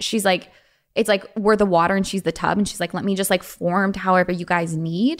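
A woman speaks with an American accent and monotone, flat intonation in a very clean recording with a silent background. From Los Angeles, US. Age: 20s. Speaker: young entrepreneur and actor. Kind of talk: casual interview. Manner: halting, many fillers.

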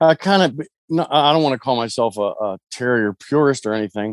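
A man with an American accent has a plain, everyday voice and ordinary pitch variation. The recording is very clean, with a silent background. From US, Pittsburgh, Pennsylvania. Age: 40s. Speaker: hound dog hunter, military veteran. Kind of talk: casual chat.

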